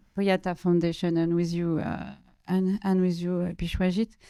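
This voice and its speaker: In a French accent, a woman speaks at a medium pitch with a dark, mellow tone on a very clean recording with a silent background. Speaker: panel moderator, curator and researcher. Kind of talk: panel discussion moderation. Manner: halting, many fillers and repetitions.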